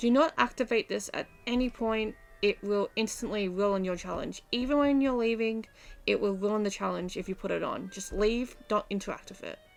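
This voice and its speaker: A woman speaks at a moderate pace with an Australian accent. Her pitch is fairly high, with ordinary variation. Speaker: gaming guide youtuber. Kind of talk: gameplay tutorial.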